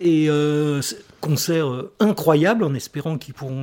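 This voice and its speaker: A man's voice sits at a fairly high pitch with a dark, mellow tone. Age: 60s. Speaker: writer. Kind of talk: casual chat.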